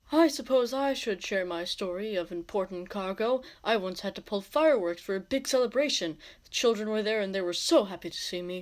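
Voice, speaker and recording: This put-on character voice moves at a fairly quick pace. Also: female-sounding voice, medium pitch for a woman. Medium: audio drama.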